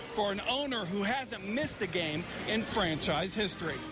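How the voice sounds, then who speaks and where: With music in the background, a man speaks in a raised, projected voice. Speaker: sports reporter. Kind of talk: local TV sports news report.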